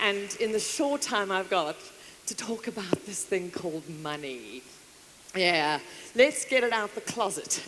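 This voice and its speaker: Over noticeable background noise, a woman speaks at a fairly slow pace in an animated tone with very wide pitch swings. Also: medium pitch for a woman. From South Africa, KwaZulu-Natal. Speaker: motivational speaker and author. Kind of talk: conference keynote speech. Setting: stage with audience.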